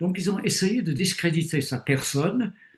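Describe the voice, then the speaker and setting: His voice is somewhat breathy. The speaker is a man. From Britain. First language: English (speaking French). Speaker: retired theologian and bible teacher. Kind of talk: interview. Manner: hesitant with fillers.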